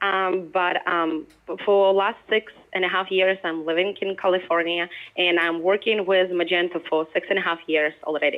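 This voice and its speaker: A woman with a Ukrainian accent, medium in pitch, monotone and flat, at a moderate pace and very even loudness. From Ukraine. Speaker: product manager. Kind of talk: presentation. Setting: remote call played through a speaker.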